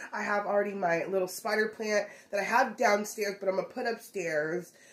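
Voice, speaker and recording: A woman's voice, moderate in pace. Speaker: lifestyle vlogger. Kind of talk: casual vlog chat. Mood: cheerful, chatty. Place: kitchen.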